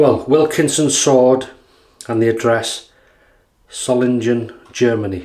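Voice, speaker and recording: Against a quiet background, a man with a North Welsh accent talks at a very slow pace in a relaxed tone with fairly even intonation. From North Wales. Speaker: YouTube wet shaving reviewer. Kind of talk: casual product demo while shaving. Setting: home video recording. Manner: relaxed, chatty with fillers. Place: bathroom. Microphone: camera far.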